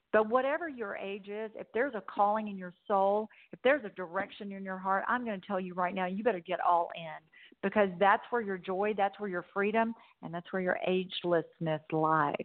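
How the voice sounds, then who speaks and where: A woman speaks with a Southern US accent. Her pace is moderate and her pitch varies in an ordinary way. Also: medium pitch for a woman, hardly any pauses, big swings in loudness. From US South. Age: 60s. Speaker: motivational speaker. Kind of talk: interview. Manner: animated.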